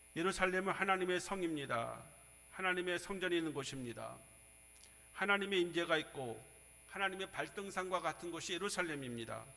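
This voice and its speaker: A man's high-pitched, bright, sharp voice at a fairly quick pace, with ordinary pitch variation and audible room echo. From Seoul. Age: 60s. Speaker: pastor. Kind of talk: sermon.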